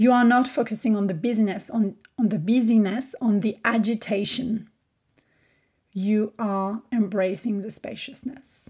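A woman's fairly high, somewhat breathy voice with a dark, mellow tone, in a French accent, fairly slow and with fairly even intonation. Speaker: podcast host, business coach. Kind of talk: solo podcast monologue.

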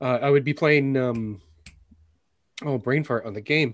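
Against a quiet background, a man talks at a fairly quick pace. His pitch is medium, with ordinary pitch variation. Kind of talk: casual chat.

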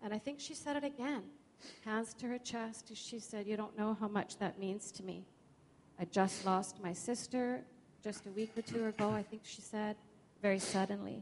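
With a plain, everyday voice, a woman speaks at a moderate pace with a fairly high pitch and ordinary pitch variation. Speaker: churchgoer sharing testimony. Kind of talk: testimony. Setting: church.

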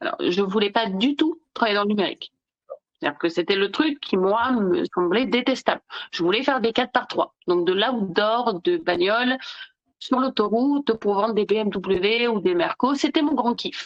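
In a plain, everyday voice, a woman with a fairly high pitch talks at a moderate pace with lively intonation and very even loudness. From southern France, Nice. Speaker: digital law expert. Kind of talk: casual interview.

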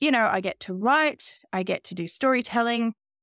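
In an Australian accent, a woman speaks with ordinary pitch variation, recorded very cleanly against a silent background with a dry, close sound and no echo. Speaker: artist and creative coach. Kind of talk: interview conversation.

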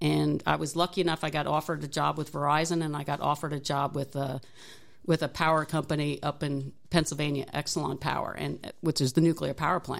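A woman's very deep, low voice with vocal fry, flat monotone intonation and a very fast pace. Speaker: engineering technology professor and Navy veteran. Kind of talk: interview.

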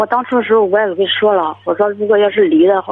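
With ordinary pitch variation, a woman speaks fairly quickly at a fairly high pitch. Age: 20s. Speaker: caller. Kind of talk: phone-in advice call. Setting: phone call.

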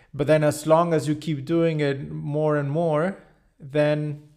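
Fairly high pitch from a male speaker. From Mexico, Cancun. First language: Spanish. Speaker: podcast host. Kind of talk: interview.

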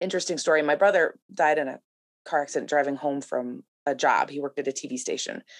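A woman speaks at a very fast pace with an American accent. Her pitch is very deep and low, and the sound is dry and close with no echo. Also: ordinary pitch variation. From US Midwest, La Crosse, Wisconsin. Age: 40s. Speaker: former TV journalist and mother. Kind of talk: casual interview conversation.

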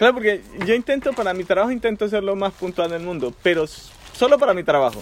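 Against noticeable background noise, a high-pitched man with a Colombian accent talks at a fairly quick pace with lively intonation. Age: 30s. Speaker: migrant guest. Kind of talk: casual chat.

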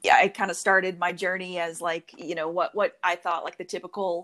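A woman's fairly low, fairly bright voice in an American accent, moderately paced, with little pitch movement

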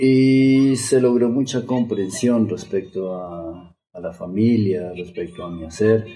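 Hardly pausing at all, a man with a fairly low voice speaks at a very slow pace, his loudness swinging widely while his pitch varies in an ordinary way. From Colombia, Bogotá. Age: 40s. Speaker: shamanic medicine healer. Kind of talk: podcast interview.

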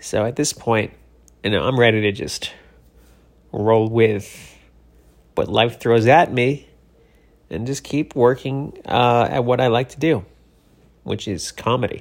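A man's medium-pitched voice at a fairly slow pace, with ordinary pitch variation, long, frequent pauses, and a very clean recording over a silent background. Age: 40s. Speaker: comedian and podcast host. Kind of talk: casual monologue. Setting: Los Angeles, cleaning out his place.

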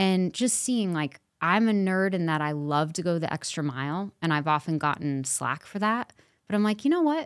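A woman with an American accent talks at a moderate pace in an unremarkable speaking voice, fairly low in pitch with lively intonation, on a very clean recording with a silent background. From Los Angeles. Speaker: actress. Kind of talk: casual chat.

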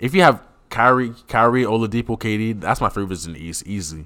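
A man with ordinary pitch variation on a very clean recording, silent background. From Cameroonian heritage. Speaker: podcast co-host. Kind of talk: casual chat.

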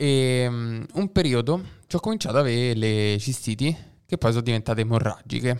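A man talks at a fairly quick pace in a plain, everyday voice of medium pitch with ordinary variation. The recording is very clean, with a silent background. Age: 20s. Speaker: podcast host. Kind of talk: casual interview chat.

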